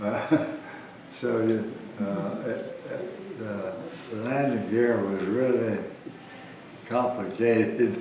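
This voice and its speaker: Against noticeable background noise and audible room echo, a man with a medium pitch talks at a very slow pace with lively intonation and long, frequent pauses. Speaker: war veteran. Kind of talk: interview. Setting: seated interview in Georgia. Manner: halting.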